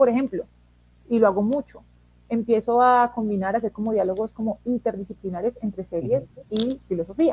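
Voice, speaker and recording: A woman's fairly high, dark and mellow voice, somewhat breathy, at a fairly quick pace with ordinary pitch variation, in a dry, close sound with no echo. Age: 20s. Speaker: philosophy teacher. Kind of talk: interview.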